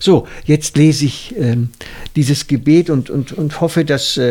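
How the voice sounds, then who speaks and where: Very slowly, a man talks in a fairly high voice. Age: 60s. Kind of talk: casual chat.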